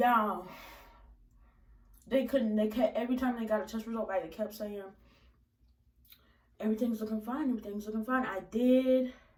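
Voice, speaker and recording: With an animated tone, a woman speaks fairly high, somewhat breathy and at a fairly quick pace, broken by long, frequent pauses. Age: young. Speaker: vlogger. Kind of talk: storytime vlog.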